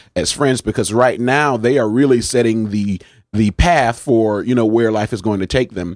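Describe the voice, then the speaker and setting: This man has a fairly low pitch and a plain, everyday voice, speaking at a moderate pace. The sound is dry and close, with no echo. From New Haven, Connecticut. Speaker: pastor. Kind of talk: interview.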